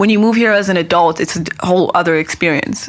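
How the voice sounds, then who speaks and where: A woman with a Persian accent and a medium pitch, amid noticeable background noise. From Iran. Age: 20s. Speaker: stand-up comedian. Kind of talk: podcast interview.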